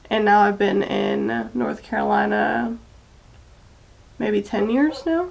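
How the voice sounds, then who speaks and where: A woman with an American accent speaks at a very slow pace, leaving long, frequent pauses. Noticeable background noise runs underneath. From Maryland and Texas, US. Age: 20s. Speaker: beauty vlogger. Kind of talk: makeup tutorial chat. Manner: casual, chatty.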